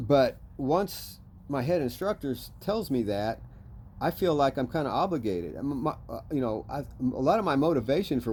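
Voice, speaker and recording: This man's dark, mellow tone carries vocal fry and lively intonation at a moderate pace. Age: 60s. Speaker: jiu-jitsu practitioner. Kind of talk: casual talk to camera.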